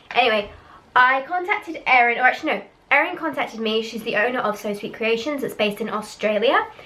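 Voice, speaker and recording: With noticeable background noise behind her, a woman talks in a high pitch with ordinary pitch variation. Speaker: vlogger and cloth pad seller. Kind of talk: product review vlog. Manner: casual, chatty.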